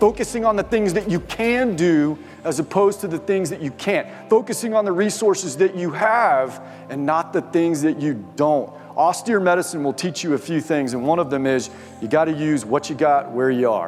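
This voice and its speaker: Over music in the background, a man speaks with lively intonation at fairly high pitch. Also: moderate pace. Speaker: motivational speaker; mountain guide. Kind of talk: keynote speech to live audience.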